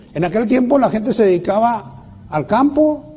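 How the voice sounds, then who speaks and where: A man speaks at a fairly slow pace with very wide pitch swings, amid noticeable background noise and audible room echo. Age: 60s. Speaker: preacher. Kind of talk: sermon. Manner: halting, with many restarts.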